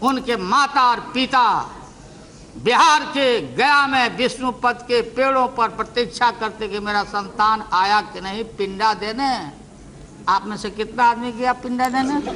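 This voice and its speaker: A man's raised, projected voice at an extremely high pitch, with fairly even intonation over noticeable background noise. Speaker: politician giving a parliamentary speech. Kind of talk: parliamentary speech, witty and humorous. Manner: witty, teasing, jocular.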